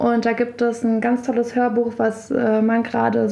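Fairly high pitch from a woman over noticeable background noise. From Berlin and Brandenburg, Germany. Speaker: DJ and festival co-founder. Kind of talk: casual interview.

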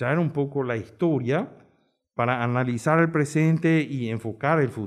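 There is a normal speaking voice here, belonging to a man. His pace is moderate. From Paraguay, Asunción. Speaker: tourism industry veteran. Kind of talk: round-table discussion.

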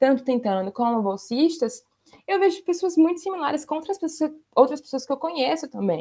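A woman speaks at a high pitch and a fairly quick pace. Her pitch swings very widely. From Brazil, Maceió, Alagoas. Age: 20s. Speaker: researcher and lawyer. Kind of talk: casual interview.

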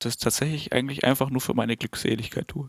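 With no echo, the sound is dry and close on a very clean recording against a silent background. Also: man. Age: 20s. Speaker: podcast co-host, musician and software developer. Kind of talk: casual chat. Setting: studio. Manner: halting.

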